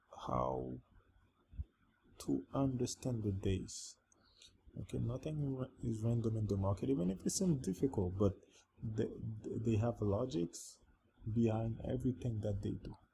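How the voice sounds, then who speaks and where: A man with a non-native accent speaks at a moderate pace in a fairly low, somewhat breathy voice with a dark, mellow tone and lively intonation, leaving long, frequent pauses. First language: not English. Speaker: trading educator. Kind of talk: tutorial. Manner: halting.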